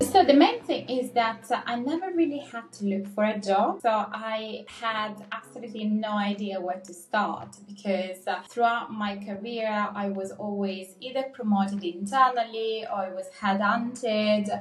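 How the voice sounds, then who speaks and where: A woman with a fairly high pitch speaks at a moderate pace with hardly any pauses over noticeable background noise. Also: ordinary pitch variation. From Italy. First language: Italian. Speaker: product marketing professional. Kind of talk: testimonial interview.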